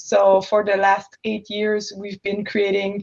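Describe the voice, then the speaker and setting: A woman in a French-Canadian accent talks at a fairly slow pace and a medium pitch. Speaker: entrepreneur, product designer. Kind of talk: panel discussion.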